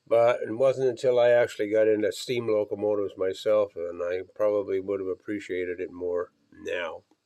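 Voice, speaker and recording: Moving at a moderate pace, a man speaks with a dark, mellow tone and very wide swings in pitch. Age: 80s+. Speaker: model railroad hobbyist. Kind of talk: casual hobby video narration. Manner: halting, with fillers.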